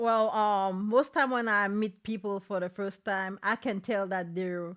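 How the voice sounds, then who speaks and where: A woman speaks fairly slowly in a Saint Lucian accent, at a medium pitch with ordinary pitch variation. The recording is very clean, with a silent background. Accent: Saint Lucian Caribbean accent, noticeable. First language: Saint Lucian French Creole. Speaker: guest, mother. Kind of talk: casual interview. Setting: cafe.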